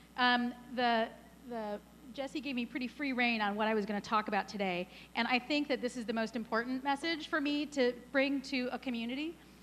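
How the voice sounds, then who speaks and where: Loud and high-pitched, a woman talks at a fairly quick pace. Her pitch varies in an ordinary way. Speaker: startup advisor and workshop founder. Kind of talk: conference talk. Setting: stage with audience. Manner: fast.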